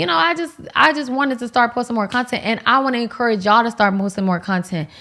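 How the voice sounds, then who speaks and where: Loud and animated, the voice has an American accent and ordinary pitch variation in a very clean recording with a silent background. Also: woman. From Miami, Florida (Haitian American). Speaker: lifestyle YouTuber. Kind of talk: casual chat.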